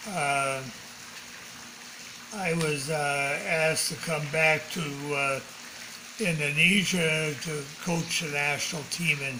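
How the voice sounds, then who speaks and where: Very slow speech from a man with a fairly high pitch and fairly even intonation, long and frequent pauses, and noticeable background noise. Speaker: sports academy founding president. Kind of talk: interview answer. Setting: home.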